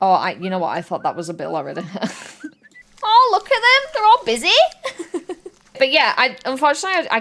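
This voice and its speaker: Noticeable background noise accompanies a woman with a Yorkshire accent who leaves long, frequent pauses. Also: fairly quick pace. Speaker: streamer. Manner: excitable, chatty.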